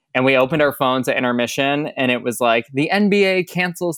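The speaker has an American accent, and the recording is very clean with a silent background. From Michigan, US Midwest. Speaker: Broadway performer, swing. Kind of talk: casual interview chat.

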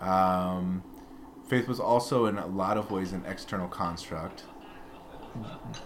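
A man with an American accent speaks in a very deep, low voice at a fairly slow pace with ordinary pitch variation and long, frequent pauses, with audible room echo. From US Midwest, Peoria, Illinois. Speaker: former minister, pastor's son. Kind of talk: casual interview conversation.

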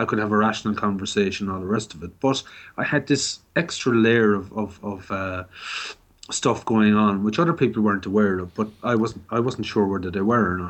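Against a quiet background, a man speaks in an Irish accent with ordinary pitch variation. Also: fairly low pitch for a man, fairly quick pace. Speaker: mental health peer advocate. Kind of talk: radio interview. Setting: phone call. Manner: halting.

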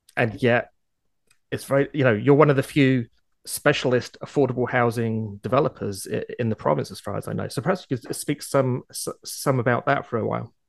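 A medium-pitched man speaks at a fairly quick pace with vocal fry, ordinary pitch variation and big swings in loudness, in a dry, close sound with no echo. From outside Canada. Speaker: podcast host. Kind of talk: interview.

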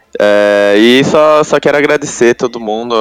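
A man's voice, dry and close with no echo, over music in the background. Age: 20s. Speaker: pro gamer. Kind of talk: interview.

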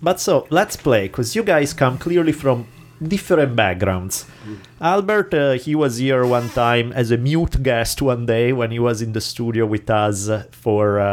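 A man speaks at a fairly slow pace with a medium pitch. His intonation is lively. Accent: Italian. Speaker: podcast host.

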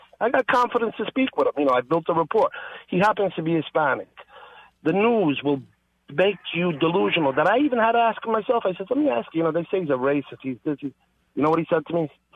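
A high-pitched man at a very fast pace with very wide pitch swings. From Italy. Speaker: caller. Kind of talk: casual chat. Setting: phone call.

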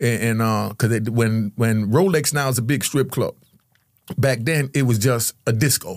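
With a very clean recording and silent background, a man speaks at a moderate pace and medium pitch, his loudness very even and his pitch varying in an ordinary way. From Jamaica, raised in New York. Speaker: former drug kingpin and ex-prisoner. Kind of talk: casual interview. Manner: animated storyteller.

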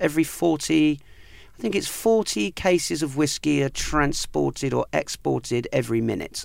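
This man is heard on a very clean recording with a silent background. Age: 40s. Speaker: whisky cask investment dealer. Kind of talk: casual interview.

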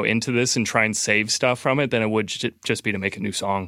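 A man talks at a fairly quick pace with fairly even intonation in a normal speaking voice. The recording is very clean, with a silent background. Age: 20s. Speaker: music producer. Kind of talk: casual chat.

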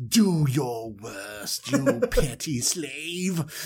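A man puts on a character voice, pitched fairly high with lively intonation, over clear background noise. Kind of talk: comic storytelling impression. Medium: solo performance. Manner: cold, dismissive, haughty.

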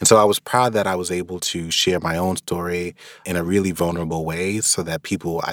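A man with a New York accent talks at a fairly quick pace in a very deep, low pitch, his intonation fairly even. The sound is dry and close with no echo, a very clean recording with a silent background. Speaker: author on personal finance. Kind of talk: personal reflection with a read-aloud excerpt.

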